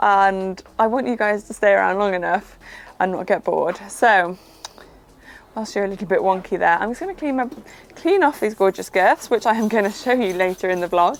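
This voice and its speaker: A woman with a Welsh accent at medium pitch and a fairly quick pace, ordinary pitch variation, and noticeable background noise. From Wales, Pembrokeshire. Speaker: equestrian vlogger. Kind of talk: casual vlog chat. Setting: outdoors in a field. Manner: fast.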